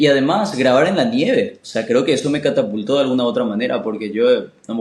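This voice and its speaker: At medium pitch, a man talks at a very fast pace with fairly even intonation. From Paraguay. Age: 20s. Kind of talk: casual interview chat.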